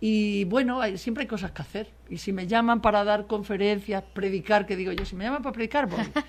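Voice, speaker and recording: A woman with a medium-pitched voice and ordinary pitch variation talks at a fairly quick pace with hardly any pauses, over noticeable background noise. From Spain, Extremadura (Mérida). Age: 60s. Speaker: political journalist. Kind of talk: radio interview. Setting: radio studio.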